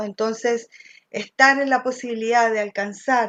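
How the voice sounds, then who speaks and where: Against a quiet background, a woman speaks in a high pitch with fairly even intonation. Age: 50s. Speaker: political candidate. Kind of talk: candidate interview.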